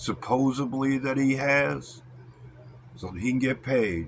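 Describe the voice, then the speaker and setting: The speaker has a plain, everyday voice. The pace is fairly slow. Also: man. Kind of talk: wrestling-style promo rant to camera. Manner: angry, confrontational.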